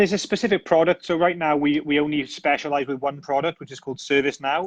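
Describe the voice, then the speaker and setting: A man talks at a very fast pace with a fairly high pitch and fairly even intonation. The sound is dry and close, with no echo. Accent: British. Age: 30s. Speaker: tech company founder. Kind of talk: interview.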